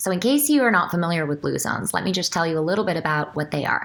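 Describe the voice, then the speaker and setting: A woman speaks in a fairly low pitch. Noticeable background noise runs under her voice. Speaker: medical doctor. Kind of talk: casual talk to camera.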